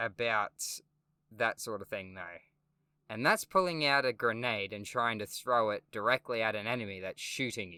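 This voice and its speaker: A man's bright, sharp tone, with ordinary pitch variation, comes through on a very clean recording with a silent background. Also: dry, close sound with no echo. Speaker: gaming YouTuber. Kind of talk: game review monologue. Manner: halting, stutters.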